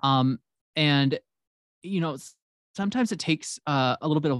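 Against a quiet background, a man with an American accent talks with ordinary pitch variation in a dry, close sound with no echo. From US Midwest (Illinois). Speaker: writer. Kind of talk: casual interview chat.

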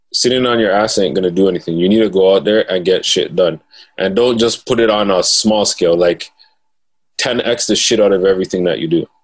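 A man with a plain, everyday voice speaks at a fairly quick pace and fairly low pitch. His pitch varies in an ordinary way, and his loudness stays very even. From Toronto, Canada (Jane and Finch). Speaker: financial literacy educator and author. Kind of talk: casual interview.

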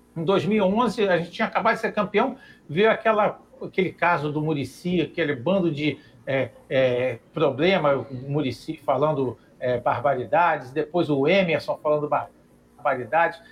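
Here is a man with an ordinary speaking voice and fairly high pitch. He talks at a moderate pace with lively intonation. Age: 50s. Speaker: architect, club council member. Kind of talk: online debate show.

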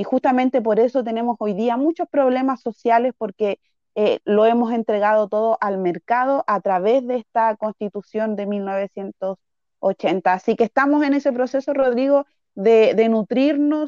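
A woman with a fairly high pitch and a dark, mellow tone speaks at a moderate pace with ordinary pitch variation, the sound dry and close with no echo. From Chile (Santiago), arrived at age three. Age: 30s. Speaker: political candidate and teacher. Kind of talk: interview.

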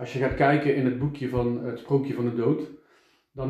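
Audible room echo surrounds a man whose voice has a dark, mellow tone. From Eindhoven, Netherlands. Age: 40s. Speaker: podcaster. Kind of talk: casual interview chat.

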